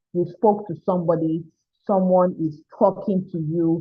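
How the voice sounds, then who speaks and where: An animated tone comes through in a Nigerian accent. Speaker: mental health therapist and coach. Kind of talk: online mentorship talk.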